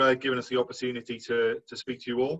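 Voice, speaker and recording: With a Welsh accent, a man speaks at medium pitch in a bright, sharp tone. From Wales. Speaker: insurance manager. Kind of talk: presentation.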